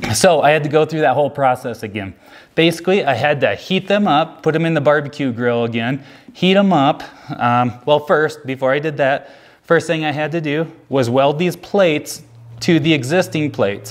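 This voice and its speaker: A man at a moderate pace, with ordinary pitch variation and a quiet background. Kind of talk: casual vlog chat. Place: garage.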